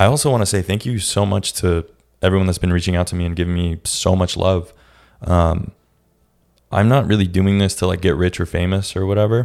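Very deep and low, a man's voice moves at a fairly quick pace with fairly even intonation. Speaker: podcast host. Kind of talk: casual solo monologue. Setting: echoey office room. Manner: casual, hesitant with many fillers.

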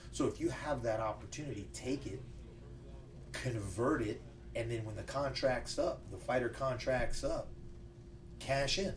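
Speaking at a fairly slow pace with long, frequent pauses, the man is heard against audible room echo. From Louisiana (Lafayette, New Orleans). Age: 30s. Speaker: martial arts coach and former MMA fighter. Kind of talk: casual interview.

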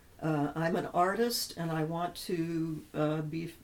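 This woman has an ordinary speaking voice, fairly low in pitch, with fairly even intonation. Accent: American. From US South, central Florida. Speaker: anthropologist and author. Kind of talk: interview.

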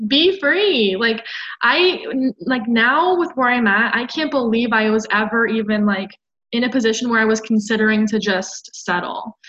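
A normal speaking voice from a woman, fairly high in pitch, with lively intonation at a moderate pace. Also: very even loudness. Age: 20s. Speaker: podcast guest. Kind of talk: casual chat.

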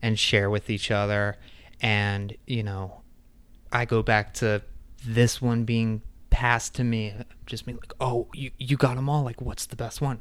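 On a very clean recording with a silent background, a man with a plain, everyday voice speaks at a medium pitch and a fairly slow pace, with fairly even intonation. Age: 30s. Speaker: podcast co-host. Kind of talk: casual chat.

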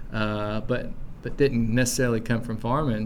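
A man talks with an Appalachian accent. Audible room echo is present. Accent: Southern US (Appalachian). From East Tennessee. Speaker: farmer and seed saver. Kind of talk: casual interview. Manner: halting, with many fillers and repeats.

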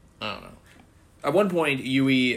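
This man has a plain, everyday voice. It sits at a medium pitch and varies in an ordinary way. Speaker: podcast host. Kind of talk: casual chat.

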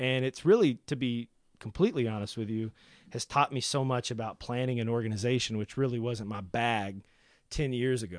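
A man with an Appalachian accent at a fairly quick pace, dry and close with no echo, against a quiet background. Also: medium pitch for a man, ordinary pitch variation. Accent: Appalachian Southern American. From US South, Appalachian southwest Virginia. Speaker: record label owner. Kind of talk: casual interview.

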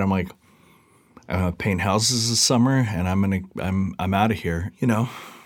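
A man's plain, everyday voice with an American accent, fairly low pitch, ordinary pitch variation and a moderate pace, on a very clean recording with a silent background. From Seattle area, US Pacific Northwest. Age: 40s. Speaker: music magazine founder and editor. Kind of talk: casual interview. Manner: casual with many fillers.

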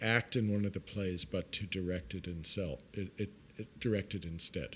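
A man with an American accent and a fairly low pitch speaks at a moderate pace in an ordinary speaking voice. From New York City, Brooklyn. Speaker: actor and director. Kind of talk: interview conversation. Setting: studio at a university.

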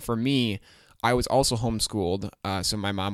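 A man talks in a normal speaking voice at a fairly low pitch and a fairly slow pace. His pitch varies in an ordinary way, and the recording is very clean with a silent background. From Michigan, US. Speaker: podcast co-host. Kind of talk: casual chat.

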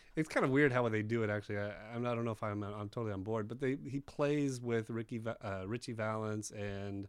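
A man's medium-pitched, ordinary speaking voice at a fairly quick pace. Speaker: podcast panelist. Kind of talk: casual chat.

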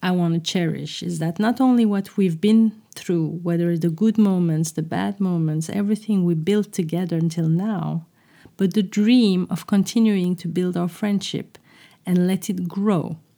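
The speaker has a normal speaking voice with ordinary pitch variation and a fairly slow pace. The recording is very clean, with a silent background. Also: woman. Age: 40s. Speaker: podcast host. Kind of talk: reflective monologue.

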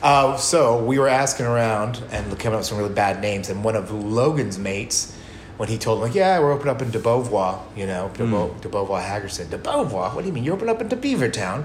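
A man's ordinary speaking voice at medium pitch, with an American accent, lively intonation and hardly any pauses. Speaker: bar owner and brewer. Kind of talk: casual interview chat.

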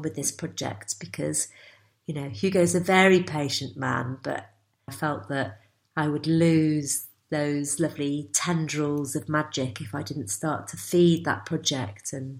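At a fairly slow pace, a woman with a northern English accent speaks with lively intonation. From northwest England, Cheshire. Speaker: embroiderer. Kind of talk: interview.

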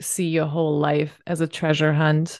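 A woman with a German accent speaks at a fairly slow pace in a fairly low pitch, her tone warm and enthusiastic. The background is quiet. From northern Germany. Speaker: podcast host. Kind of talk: casual interview chat. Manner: warm, enthusiastic.

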